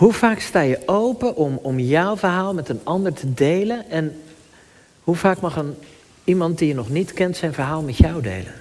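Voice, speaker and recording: With lively intonation, the talker keeps to a moderate pace. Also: man, high pitch for a man. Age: 30s. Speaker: pastor. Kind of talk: sermon. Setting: church. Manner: halting.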